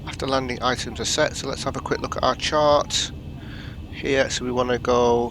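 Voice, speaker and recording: Over noticeable background noise, the voice shows ordinary pitch variation. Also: man. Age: adult. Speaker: gaming youtuber. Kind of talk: gameplay commentary. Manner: halting.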